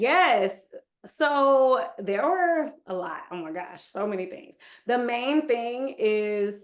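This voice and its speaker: Here is a woman with an American accent speaking at a fairly high pitch. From Texas (Houston) and Michigan. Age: 30s. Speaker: yoga instructor. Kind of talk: interview.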